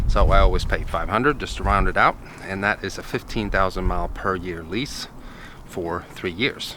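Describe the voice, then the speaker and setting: With noticeable background noise and audible room echo, a man speaks at a moderate pace. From Sweden. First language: Swedish. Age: 30s. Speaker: car vlogger. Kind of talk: casual vlog. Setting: garage.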